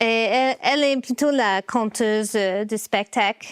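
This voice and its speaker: In an English accent, the speaker talks at a very slow pace on a very clean recording with a silent background and a dry, close sound with no echo. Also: woman. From US, Baltimore, Maryland. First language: English (speaking French). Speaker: puppeteer. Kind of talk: interview. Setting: her workshop. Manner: halting, many fillers.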